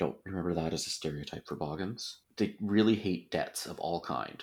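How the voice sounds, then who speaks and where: A man with a very deep, low pitch and vocal fry talks at a fairly quick pace. His intonation is lively on a very clean recording with a silent background. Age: 40s. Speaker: podcast host. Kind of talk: casual chat.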